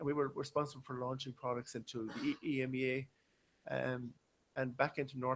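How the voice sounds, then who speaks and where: This man speaks in an Irish accent at a medium pitch. His pace is fairly quick and his intonation monotone and flat. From western Ireland, Galway. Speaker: business consultant and engineer. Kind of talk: conference talk.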